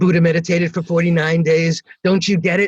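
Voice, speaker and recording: A somewhat breathy man with a fairly high pitch talks at a fairly quick pace. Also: dry, close sound with no echo. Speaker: meditation teacher. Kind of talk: interview answer. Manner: casual, conversational.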